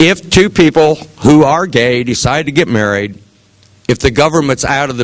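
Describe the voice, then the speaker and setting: With a Midwestern US accent, a man speaks at a moderate pace, his pitch swinging very widely. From Ohio, Seneca County. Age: 60s. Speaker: political candidate. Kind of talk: campaign speech. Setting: meeting with audience. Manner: earnest.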